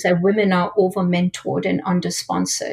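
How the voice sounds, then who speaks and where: At a fairly quick pace, a woman with a medium pitch speaks in a somewhat breathy voice. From India. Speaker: product manager. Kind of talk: interview.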